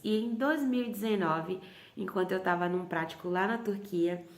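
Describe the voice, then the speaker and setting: A woman at a medium pitch and moderate pace, with ordinary pitch variation and audible room echo. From Bahia, Brazil. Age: 30s. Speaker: missionary leader. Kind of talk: testimony.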